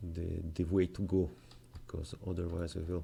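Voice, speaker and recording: A man's very deep, low voice in a non-native accent, dark and mellow in tone. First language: not English. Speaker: game development tutorial maker. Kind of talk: tutorial. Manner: halting, many fillers.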